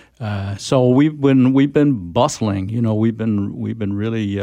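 A man with an American accent speaks at a fairly slow pace. His voice is fairly low in pitch, with a dark, mellow tone. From expat childhood in France, American parents. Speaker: environmental advocacy leader. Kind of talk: radio interview.

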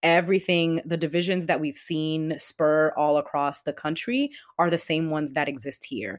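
Recorded very cleanly against a silent background, in a dry, close sound with no echo, a woman with an American accent uses a normal speaking voice at fairly low pitch and a moderate pace. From Boston, Jamaica Plain. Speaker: city council candidate. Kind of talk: interview.

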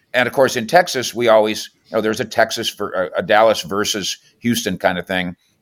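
An unremarkable speaking voice from a man with an American accent, medium in pitch, at a fairly quick pace with hardly any pauses and ordinary pitch variation. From Minnesota. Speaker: NFL reporter. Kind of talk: casual sports talk interview.

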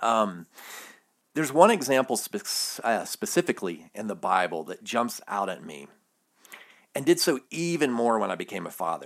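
A man with an American accent at medium pitch, very wide pitch swings, big swings in loudness, and a moderate pace. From US South, Alabama. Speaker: podcast host, Bible study. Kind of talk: solo podcast monologue on faith. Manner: casual, hesitant with fillers.

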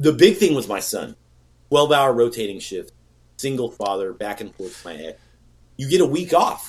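With an American accent, a man of medium pitch talks at a moderate pace, taking long, frequent pauses, his loudness swinging widely and his pitch ranging very widely, with vocal fry. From California, Bay Area. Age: 40s. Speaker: bait maker and business owner. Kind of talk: casual chat.

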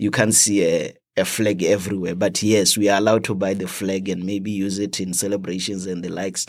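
A man with a Botswana accent, fairly low pitch, fairly even intonation and a fairly quick pace, in a very clean recording with a silent background. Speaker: international student. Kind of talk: casual interview. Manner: halting, repeats words.

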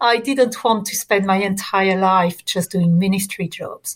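A woman with a somewhat breathy, medium-pitched voice speaks at a moderate pace with fairly even intonation. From France. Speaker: priest and theologian. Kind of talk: interview.

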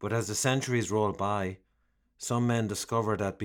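The speaker uses a natural reading voice, with intonation that stays fairly even.

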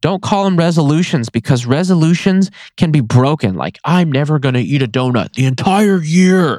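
Recorded very cleanly with a silent background and a dry, close sound with no echo, a man speaks at a moderate pace, fairly high in pitch with lively intonation. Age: 30s. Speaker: podcast host, wildlife removal business owner. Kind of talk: solo casual talk. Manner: animated, frequent laughter.

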